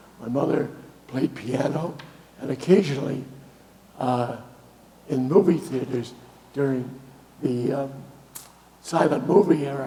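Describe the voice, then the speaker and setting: A man with an American accent and a fairly high pitch, fairly slow pace with long, frequent pauses, and audible room echo. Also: ordinary pitch variation. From Boston, New England. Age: 80s+. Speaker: guest speaker, retired musician and sailor. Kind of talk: talk to a congregation. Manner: halting, many fillers.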